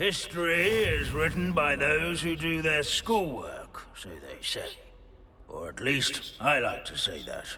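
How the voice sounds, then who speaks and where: Fairly slow, put-on character voice over clear background noise. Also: man. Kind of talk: scholarly lecture. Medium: video game. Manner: dry, lecturing.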